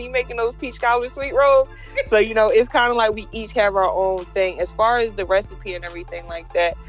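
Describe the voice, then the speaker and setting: A woman with an American accent at a fairly quick pace, big swings in loudness, and music in the background. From New Jersey. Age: 20s. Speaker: bakery owner. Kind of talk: interview answer.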